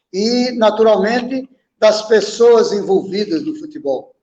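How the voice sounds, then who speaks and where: This man talks at a fairly slow pace in a high voice, with ordinary pitch variation. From Brazil, Alagoas (Palmeira dos Índios, Maceió). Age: 80s+. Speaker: former footballer and coach. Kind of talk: interview.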